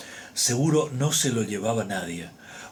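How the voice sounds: The voice reads in a natural way.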